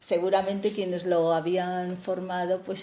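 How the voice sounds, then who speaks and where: Amid noticeable background noise, a woman with a medium-pitched voice speaks at a very slow pace. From Spain, Aragon (Teruel province). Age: 60s. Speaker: physicist and historian of science. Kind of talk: interview.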